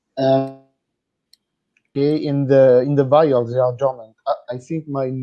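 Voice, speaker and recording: A man with a French accent, monotone and flat in intonation, at a fairly slow pace over music in the background. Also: medium pitch for a man. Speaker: product company representative. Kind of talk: interview. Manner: halting, hesitant.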